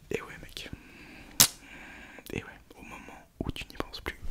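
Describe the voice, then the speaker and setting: A man is whispering at a moderate pace. Noticeable background noise runs under his voice. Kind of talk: ASMR video talk to camera. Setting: close to microphone, home setup. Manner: whispered; casual, joking.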